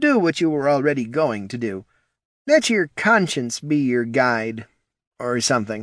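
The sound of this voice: The background stays quiet. The reading voice is unforced.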